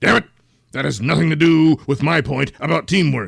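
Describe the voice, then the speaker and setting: Using a raised, projected voice, a man performs a put-on character voice at a moderate pace with lively intonation. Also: fairly high pitch for a man. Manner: bossy, irritable, shouting.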